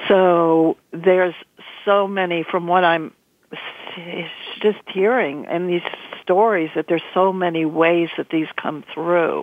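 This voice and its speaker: Speaking at a very slow pace, a woman with a fairly low pitch keeps her intonation fairly even and leaves long, frequent pauses. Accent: American. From New York area. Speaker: guest co-host, former creative director. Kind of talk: casual chat.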